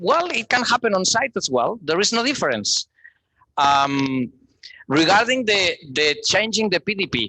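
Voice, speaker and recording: In a dry, close sound with no echo, a man uses a raised, projected voice, high in pitch with a bright, sharp tone, speaking at a fairly slow pace with very wide pitch swings. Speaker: policy proposal author. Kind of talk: debate response at open microphone.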